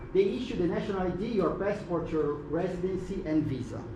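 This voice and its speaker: Over noticeable background noise and audible room echo, this man speaks fairly quickly. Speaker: web3 mentor presenting at tech event. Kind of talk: short conference presentation.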